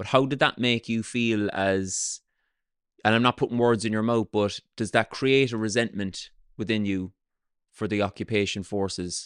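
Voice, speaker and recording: Against a quiet background, a man with a Cork accent talks in a fairly low voice, the sound dry and close with no echo. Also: fairly even intonation, moderate pace. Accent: Irish, Cork. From south of Ireland. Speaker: podcast host and comedian. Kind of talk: casual interview chat. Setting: cafe restaurant in Cork.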